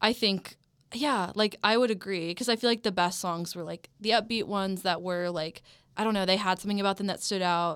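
On a very clean recording with a silent background, a woman speaks with an unremarkable speaking voice and fairly even intonation. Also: medium pitch for a woman, fairly quick pace. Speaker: college radio music director. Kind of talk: casual chat. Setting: studio.

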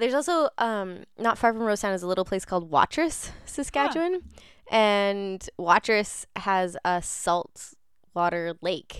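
A woman with an unremarkable speaking voice and a Canadian accent, at medium pitch with lively intonation and a fairly slow pace, on a very clean recording with a silent background. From southern Ontario, Canada. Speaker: community radio host. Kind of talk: casual radio chat. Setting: radio studio, live stream.

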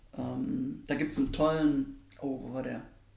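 The room echo is audible as a man talks fairly slowly. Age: 20s. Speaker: parliamentary staffer. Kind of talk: interview. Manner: hesitant, many fillers.

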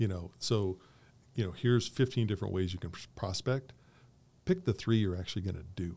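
At a fairly quick pace broken by long, frequent pauses, a dark, mellow voice with an American accent and ordinary pitch variation comes through on a very clean recording with a silent background. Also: man, fairly low pitch for a man. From Colorado. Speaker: real estate agent. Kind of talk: casual interview.

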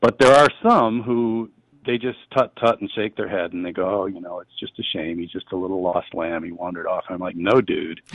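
A man with an Upper Midwest accent talks at a fairly quick pace in a fairly low voice. His pitch varies normally while his loudness swings widely. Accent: Upper Midwest American. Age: 50s. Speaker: author and humorist. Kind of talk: interview. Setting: studio.

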